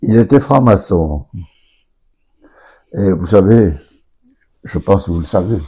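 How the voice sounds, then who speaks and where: In a very clean recording with a silent background, a man with a fairly low pitch and a dark, mellow, somewhat breathy tone uses lively intonation at a very slow pace with long, frequent pauses. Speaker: local elder, son of a Resistance member. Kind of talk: radio interview. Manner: halting.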